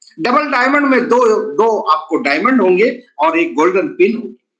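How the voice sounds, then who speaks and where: Extremely high for a man, this voice moves through very wide pitch swings. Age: 60s. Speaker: network marketing presenter. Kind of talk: sales pitch. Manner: animated.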